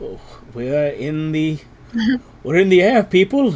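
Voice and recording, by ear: A man uses a shaky, high-pitched put-on character voice with ordinary pitch variation.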